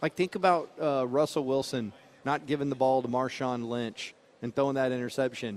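Here a man has a normal speaking voice, medium in pitch, with ordinary pitch variation. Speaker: sports radio co-host. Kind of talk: live sports commentary from practice sideline. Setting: outdoors at team practice. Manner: quick play-by-play calls mixed with wry laughing asides.

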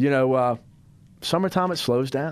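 Heard on a very clean recording with a silent background, a man with a normal speaking voice talks at a moderate pace in an American accent, his intonation lively. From US South. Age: 30s. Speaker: radio host. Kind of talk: casual chat.

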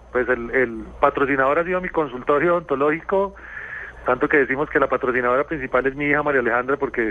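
A man with a medium-pitched voice talks at a fairly quick pace, and noticeable background noise is present. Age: 40s. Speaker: rally driver and dentist. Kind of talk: radio interview. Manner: halting, with frequent repetitions.

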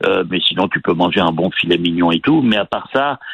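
With ordinary pitch variation and a moderate pace, an unremarkable speaking voice carries the words. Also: man. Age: 60s. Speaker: restaurant owner. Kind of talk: phone interview. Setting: phone call.

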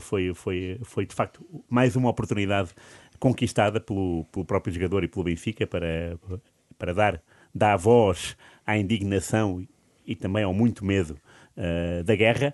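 This man talks at a moderate pace, with fairly low pitch and ordinary pitch variation. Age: 40s. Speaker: football pundit. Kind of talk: casual chat. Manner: halting, many repetitions.

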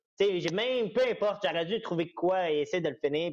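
A man talks at a moderate pace. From Quebec. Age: 20s. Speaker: MMA fighter. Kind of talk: interview.

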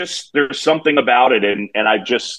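A man talks with an American accent at a moderate pace, with ordinary pitch variation and an ordinary speaking voice. The sound is dry and close, with no echo. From New York City. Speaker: baseball play-by-play broadcaster. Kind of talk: casual interview.

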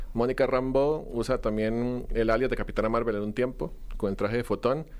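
A man speaks in a plain, everyday voice at medium pitch. His pitch variation is ordinary. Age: 20s. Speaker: film content creator. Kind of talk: casual chat.

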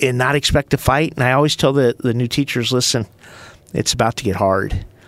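At a moderate pace and medium pitch, a man with an unremarkable speaking voice keeps fairly even intonation in a very clean, dry, close recording with no echo and a silent background. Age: 50s. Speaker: school superintendent. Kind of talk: casual chat.

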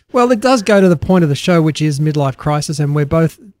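With an Australian accent, a man talks at a fairly quick pace in a fairly high pitch, the sound dry and close with no echo. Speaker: podcast co-host. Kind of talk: casual chat.

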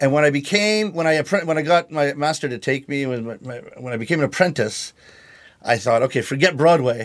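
In a very clean recording with a silent background, a man with a Canadian accent speaks fairly quickly with a fairly high pitch and lively intonation. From Canada. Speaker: rakugo comic storyteller. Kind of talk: podcast interview. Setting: studio. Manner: calm, lower energy than hosts.

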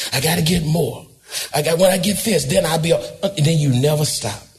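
A man talks in an animated tone at a high pitch. Room echo can be heard. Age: 80s+. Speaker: pastor. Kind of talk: sermon.

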